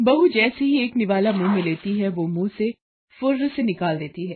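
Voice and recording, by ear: With a slightly husky edge, a woman talks at a medium pitch with lively intonation. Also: moderate pace.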